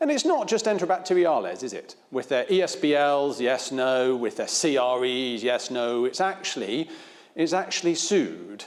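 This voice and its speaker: Speaking with a Devon accent, a man uses a fairly high pitch and lively intonation at a moderate pace. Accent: Devonian. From England, Devon. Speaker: infectious diseases physician. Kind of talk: conference talk.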